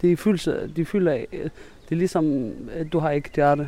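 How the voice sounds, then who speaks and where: A man speaks in a dark, mellow tone at a fairly high pitch. His pitch variation is ordinary and his pace moderate. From Syria. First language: Arabic (speaking Danish). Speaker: refugee. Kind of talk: interview. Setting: outdoors. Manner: halting.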